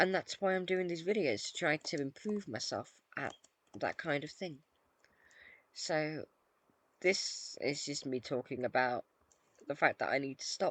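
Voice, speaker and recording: Speech comes out mumbling, in a British accent, at a fairly slow pace. Long, frequent pauses break it up. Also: quiet background. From Britain. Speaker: gaming YouTuber. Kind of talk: casual gameplay commentary. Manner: hesitant, many fillers.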